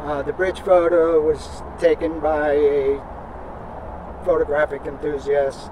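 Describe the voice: A man talks slowly at a fairly high pitch with little pitch movement. Background noise is clearly heard.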